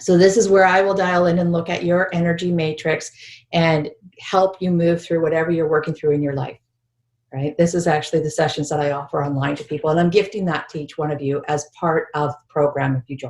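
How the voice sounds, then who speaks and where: With a plain, everyday voice, a woman speaks in a fairly low pitch and fairly even intonation. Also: fairly quick pace. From British Columbia, Canada. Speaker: spiritual healing teacher. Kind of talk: online workshop presentation.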